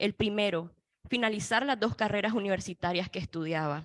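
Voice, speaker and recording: This woman has a plain, everyday voice, speaking at a moderate pace with ordinary pitch variation. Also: dry, close sound with no echo. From Nicaragua. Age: 20s. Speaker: student activist and former political prisoner. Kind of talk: panel testimony. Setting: panel event in Washington.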